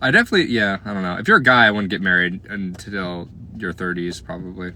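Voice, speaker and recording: A man speaks at a very fast pace in a very deep, low pitch with a bright, sharp tone. His intonation stays fairly even while his loudness swings widely. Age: 20s. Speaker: live streamer. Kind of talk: casual chat with live chat viewers.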